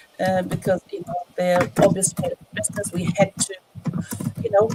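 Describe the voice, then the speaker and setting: A woman at medium pitch and moderate pace, ordinary pitch variation, noticeable background noise. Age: 60s. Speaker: online business owner. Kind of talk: testimony. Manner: halting, many fillers.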